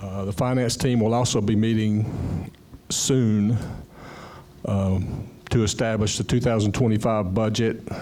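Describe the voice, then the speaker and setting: A man speaks at a fairly low pitch and a fairly slow pace. His intonation is flat and monotone, and room echo can be heard. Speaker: condo board member. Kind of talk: board meeting report.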